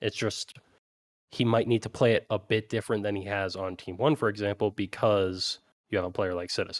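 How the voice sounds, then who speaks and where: An unremarkable speaking voice from a man, fairly low in pitch, with fairly even intonation at a fairly quick pace, in dry, close sound with no echo. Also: very clean recording, silent background. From Canada. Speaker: esports analyst co-host. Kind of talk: casual chat. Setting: studio.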